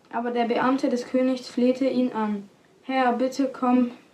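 A woman talks at a fairly slow pace in a high pitch, her intonation monotone and flat. Noticeable background noise is present. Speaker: podcast announcer and scripture reader. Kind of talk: reading aloud.

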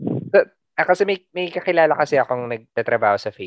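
A man with a Filipino accent, very fast pace, and very wide pitch swings. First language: Tagalog. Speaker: podcast host. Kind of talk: casual interview chat.

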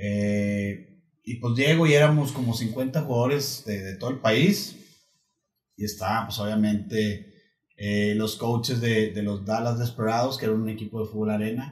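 Somewhat breathy, a man talks fairly slowly at a medium pitch. His intonation stays fairly even. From Torreón, Coahuila, northern Mexico. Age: 40s. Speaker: former American football player. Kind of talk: casual interview chat. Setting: host's home.

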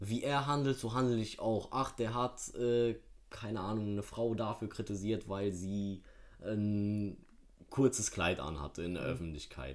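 Speaking in a plain, everyday voice, a man keeps his pitch fairly low and his pitch variation ordinary. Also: fairly slow pace. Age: young. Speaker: podcast guest. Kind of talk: casual chat.

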